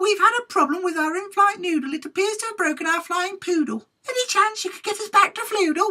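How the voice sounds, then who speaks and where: Squeaky and extremely high, this is a put-on character voice. It runs at a fairly quick pace. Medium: read story.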